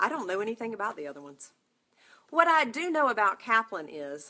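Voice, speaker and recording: The tone is bright and sharp, with a North Carolina accent. The pace is moderate. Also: woman. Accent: Southern US (North Carolina). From North Carolina, US South. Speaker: nursing exam prep instructor. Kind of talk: live webinar talk. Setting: online broadcast from computer. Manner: animated.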